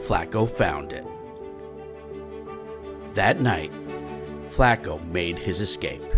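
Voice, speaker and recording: A man at a very slow pace with very wide pitch swings, music in the background. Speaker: children's book author reading his own book. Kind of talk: children's picture book read-aloud.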